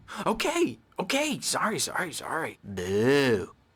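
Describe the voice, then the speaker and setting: A put-on character voice from a man, fairly high in pitch and fairly slow. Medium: video game. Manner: manic, teasing.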